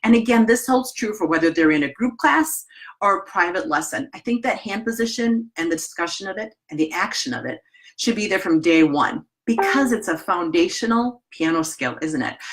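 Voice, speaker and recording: A woman talks at a fairly quick pace in a Wisconsin accent. Her pitch swings very widely. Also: medium pitch for a woman. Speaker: piano teacher trainer. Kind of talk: webinar presentation. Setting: live online webinar. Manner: casual, conversational.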